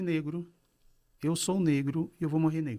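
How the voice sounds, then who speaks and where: A man's dark, mellow voice, fairly high in pitch, at a moderate pace on a very clean recording with a silent background. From Brazil, São Paulo. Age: 60s. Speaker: business consultant and coach. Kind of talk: podcast interview. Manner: relaxed conversational.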